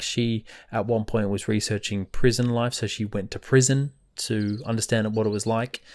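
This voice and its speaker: In an Australian accent, a man speaks with fairly even intonation on a very clean recording with a silent background. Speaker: book podcast host. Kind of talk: casual podcast monologue. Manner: casual with many fillers.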